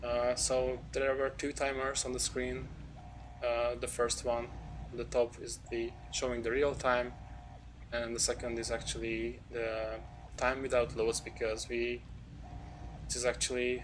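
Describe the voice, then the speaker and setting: Audible room echo surrounds a man speaking at a fairly slow pace. He leaves long, frequent pauses. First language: not English. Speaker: speedrunner. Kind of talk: gameplay commentary. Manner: halting.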